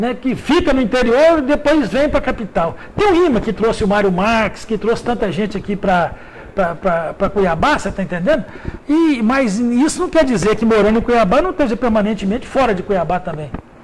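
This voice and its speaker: Speaking at a moderate pace, a man uses a high pitch and lively intonation. Noticeable background noise can be heard. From Minas Gerais, Brazil (Vale do Rio Doce). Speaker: journalist and magazine editor. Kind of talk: radio interview. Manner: halting, repeats words.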